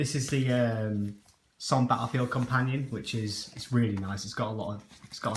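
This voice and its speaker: Noticeable background noise runs under speech at a fairly quick pace. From northern England, Yorkshire (Harrogate). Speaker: wargaming YouTuber. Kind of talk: casual show-and-tell video. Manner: hesitant, many ums.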